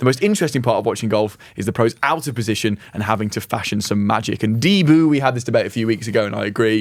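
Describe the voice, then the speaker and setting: A man talks at a very fast pace with a British accent and ordinary pitch variation. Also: medium pitch for a man, hardly any pauses. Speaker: podcast co-host. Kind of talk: casual chat.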